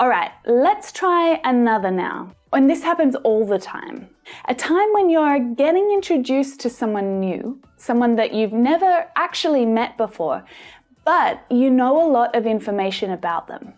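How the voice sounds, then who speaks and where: A high-pitched woman with an Australian accent and very wide pitch swings. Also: moderate pace. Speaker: English pronunciation teacher. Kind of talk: tutorial.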